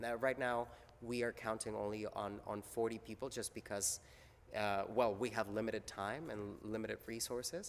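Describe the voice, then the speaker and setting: The man's voice sits at a medium pitch. He keeps a moderate pace. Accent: Spanish. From Mexico. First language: Spanish. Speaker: theater maker. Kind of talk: interview. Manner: halting, many fillers and repeats.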